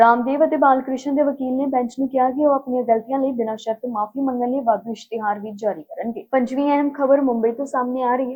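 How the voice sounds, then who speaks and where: Fairly even intonation in a high-pitched female voice. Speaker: news anchor. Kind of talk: formal Punjabi news bulletin reading, headlines then detailed stories. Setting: studio. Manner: brisk, steady newsreader cadence running headlines together; formal, measured delivery of facts and figures.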